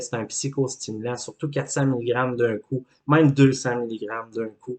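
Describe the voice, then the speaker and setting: A man's dark, mellow voice at medium pitch, with a Quebec accent, fairly even intonation and a moderate pace. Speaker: life coach. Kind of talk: educational talk.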